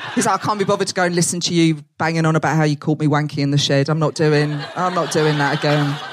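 A woman with an Essex accent speaks very fast, with hardly any pauses, in a very deep, low pitch. Her intonation is fairly even, her loudness very even, and background noise is noticeable. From Essex, England. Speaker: comedian. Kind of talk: stand-up. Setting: stage with audience.

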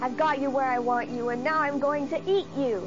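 A female-sounding put-on character voice, high-pitched, at a moderate pace over loud background noise. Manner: menacing, spooky.

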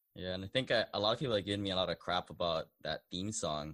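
A man at a very fast pace, fairly low in pitch, with a dry, close sound and no echo. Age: 30s. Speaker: real estate investor podcast host. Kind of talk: casual chat. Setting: remote call.

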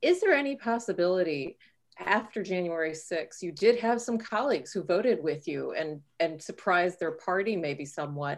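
With an American accent, a woman talks in a plain, everyday voice at a moderate pace. Her pitch is medium and her intonation lively. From Texas, south of San Antonio. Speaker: physician and health policy expert. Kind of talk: interview.

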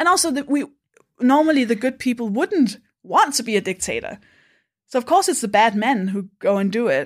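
A woman's high voice with very wide pitch swings. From Denmark. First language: Danish. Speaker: stand-up comedian. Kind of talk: casual chat. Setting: in person, drinking beer together.

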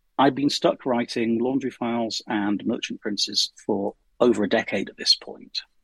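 An unremarkable speaking voice: a man of medium pitch at a moderate pace with fairly even intonation and big swings in loudness. The sound is dry and close, with no echo. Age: 50s. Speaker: science fiction writer. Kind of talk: interview.

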